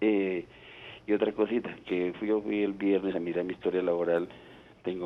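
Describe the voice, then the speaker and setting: This man talks at a moderate pace with fairly even intonation and a very deep, low pitch. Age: 60s. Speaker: caller. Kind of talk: phone-in question. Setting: phone call.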